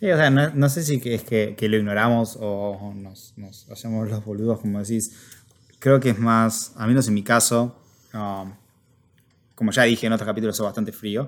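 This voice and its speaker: A man's medium-pitched voice in a Rioplatense accent, at a moderate pace, with fairly even intonation and big swings in loudness. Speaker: podcast co-host. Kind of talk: casual chat.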